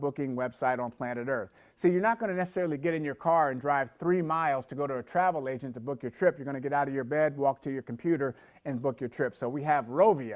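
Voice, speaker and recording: The background is quiet. A man speaks very fast at a fairly high pitch. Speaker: network marketing presenter. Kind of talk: sales pitch. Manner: animated.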